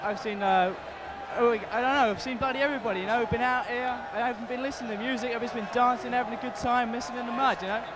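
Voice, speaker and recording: Over noticeable background noise and audible room echo, a man talks very fast at an extremely high pitch with fairly even intonation. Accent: London. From England, London. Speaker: festival-goer. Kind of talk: casual interview.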